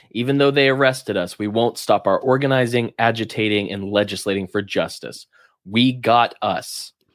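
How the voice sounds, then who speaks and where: Recorded very clean against a silent background, a man talks at a moderate pace with an American accent. His pitch is medium with ordinary variation. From Alabama. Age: 30s. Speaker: podcast co-host. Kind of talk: casual chat.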